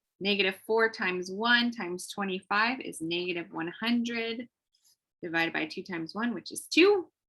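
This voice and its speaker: A woman has a plain, everyday voice at a medium pitch and a moderate pace. Her pitch variation is ordinary, while her loudness swings a lot. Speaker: math teacher. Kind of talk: live online math lesson.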